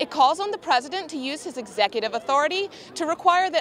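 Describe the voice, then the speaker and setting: A woman at a moderate pace with very wide pitch swings, over noticeable background noise. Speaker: news reporter. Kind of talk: broadcast news reporting.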